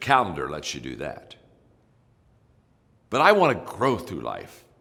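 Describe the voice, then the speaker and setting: With a very deep, low pitch and vocal fry, a man speaks at a moderate pace in a bright, sharp tone, his pitch swinging very widely and his loudness shifting a lot. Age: 70s. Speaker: leadership speaker. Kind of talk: motivational talk.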